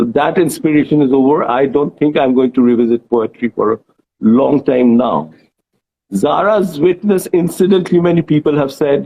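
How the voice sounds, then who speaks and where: A man speaks at a moderate pace with a Bengali accent. His voice is fairly high in pitch, with ordinary pitch variation and very even loudness. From India, Bengali. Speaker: author and journalist. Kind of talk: interview. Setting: Instagram live video chat.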